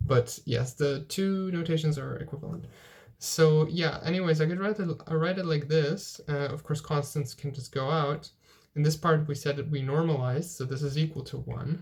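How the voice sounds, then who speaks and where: This man's fairly high voice is somewhat breathy, with fairly even intonation at a moderate tempo. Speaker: physics tutor. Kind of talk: lecture. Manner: halting.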